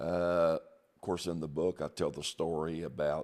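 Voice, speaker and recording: A man with an American accent speaks at a fairly slow pace in a very deep, low pitch with vocal fry. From US Midwest, southeast Missouri. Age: 60s. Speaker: pastor. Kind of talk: testimony. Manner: hesitant, with many fillers.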